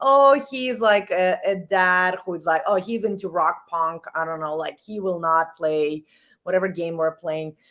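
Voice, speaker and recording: A woman's medium-pitched voice with a slight non-native accent, ordinary pitch variation and a fairly slow pace, on a very clean recording with a silent background. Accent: slight foreign. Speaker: executive coach. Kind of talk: casual interview. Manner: animated.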